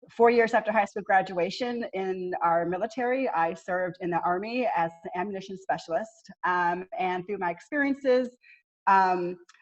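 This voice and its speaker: A woman with a slight Southern US accent speaks with ordinary pitch variation. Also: medium pitch for a woman, moderate pace. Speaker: army veteran and consultant. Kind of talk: panel discussion.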